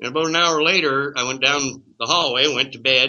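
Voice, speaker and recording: Speaking at a moderate pace, a man with a fairly high pitch has a plain, everyday voice. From Canada. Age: 60s. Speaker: cannabis activist. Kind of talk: interview.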